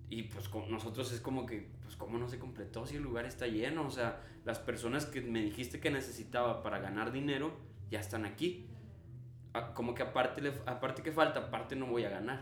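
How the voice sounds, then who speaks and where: Fairly quick speech from a man with a Mexican accent, medium pitch and fairly even intonation, with audible room echo and noticeable background noise. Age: 20s. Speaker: entrepreneur. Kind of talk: casual chat.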